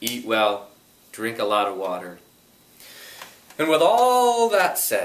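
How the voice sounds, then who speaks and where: Through noticeable background noise, a man speaks very slowly in a calm tone, with long, frequent pauses. His fairly high voice moves through very wide pitch swings. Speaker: EFT tapping practitioner. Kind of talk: guided EFT tapping session. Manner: calm, guiding, instructional.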